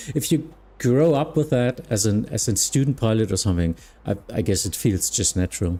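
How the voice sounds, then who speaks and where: A man's medium-pitched, dark, mellow voice with lively intonation, at a moderate pace. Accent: German. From Germany. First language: German. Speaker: flight simulation streamer and virtual air traffic controller. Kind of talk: casual livestream chat. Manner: halting, with frequent fillers.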